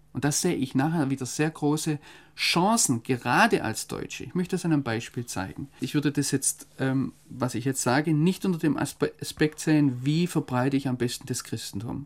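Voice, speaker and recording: The speech moves at a moderate pace with hardly any pauses and ordinary pitch variation, on a very clean recording with a silent background. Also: man, fairly high pitch for a man. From Germany. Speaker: foreign correspondent. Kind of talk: interview. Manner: hesitant, with many fillers.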